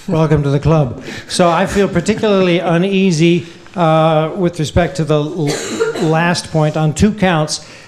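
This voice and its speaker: A man speaks at a fairly slow pace with a high pitch, fairly even intonation and very even loudness. Noticeable background noise sits behind him. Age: 60s. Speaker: historian. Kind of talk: Q&A after lecture.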